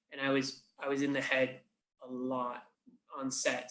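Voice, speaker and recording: Speaking with an English accent, a man uses a bright, sharp tone at a medium pitch. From England. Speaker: puppeteer and creature performer. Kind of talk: interview answer. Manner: casual, conversational.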